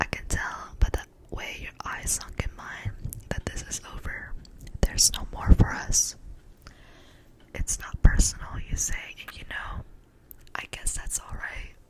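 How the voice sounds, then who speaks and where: A woman whispers with long, frequent pauses and big swings in loudness. Noticeable background noise sits behind her. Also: fairly slow pace. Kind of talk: poetry reading. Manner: whispered.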